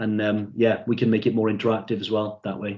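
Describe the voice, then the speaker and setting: A man speaks at a fairly quick pace. He has a South Wales Valleys accent. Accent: Welsh, South Wales Valleys. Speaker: product trainer. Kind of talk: online training session.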